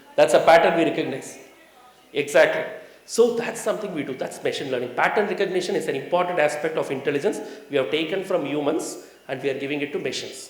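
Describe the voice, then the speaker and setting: A man speaks very fast, with noticeable background noise and audible room echo around him. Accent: strong Tamil. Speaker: management consultant, seminar speaker. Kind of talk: seminar talk to audience. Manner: conversational, engaging audience with questions.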